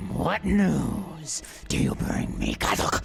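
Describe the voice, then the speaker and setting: A man's growling put-on character voice at a very slow pace, with clear background noise. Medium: audio drama. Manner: roaring, scene-chewing.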